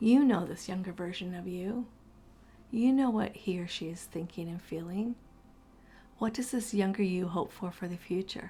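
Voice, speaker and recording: In a calm, gentle tone, a woman talks at a medium pitch with a somewhat breathy quality. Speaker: guided meditation host. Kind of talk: guided meditation. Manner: calm, slow, gentle.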